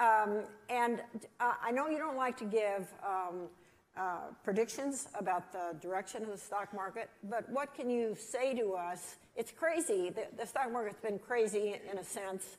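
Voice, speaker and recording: A woman talks in a normal speaking voice, fairly high in pitch. Her pace is fairly slow, with ordinary pitch variation. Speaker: interviewer. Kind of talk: interview.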